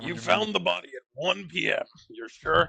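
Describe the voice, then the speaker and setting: Using a put-on character voice, a man speaks at a moderate pace with big swings in loudness, the sound dry and close with no echo. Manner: interrogating, stern.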